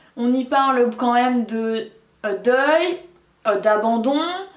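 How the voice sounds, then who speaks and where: Amid noticeable background noise and audible room echo, a woman speaks at a high pitch and a very slow pace with ordinary pitch variation. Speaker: book reviewer. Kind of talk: casual book review vlog.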